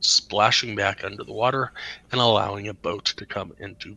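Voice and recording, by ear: Someone reads out loud in a natural-sounding voice.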